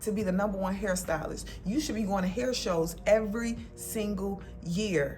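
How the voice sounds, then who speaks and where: With music playing in the background, a woman speaks at medium pitch and a moderate pace, her pitch varying in an ordinary way. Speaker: lifestyle vlogger. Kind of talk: casual talk to camera. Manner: warm, encouraging.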